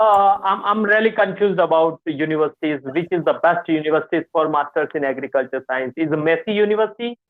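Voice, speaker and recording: Over music in the background, a man with a high pitch rattles along at a very fast pace with hardly any pauses and ordinary pitch variation. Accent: Indian. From India. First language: Hindi. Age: 20s. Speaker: student. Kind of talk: casual chat. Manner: halting.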